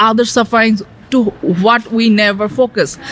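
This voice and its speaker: A woman with a Bangladeshi accent at a fairly slow pace, with noticeable background noise. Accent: Bangladeshi regional accent of English. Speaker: asexual queer artist and activist. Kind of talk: radio interview answer.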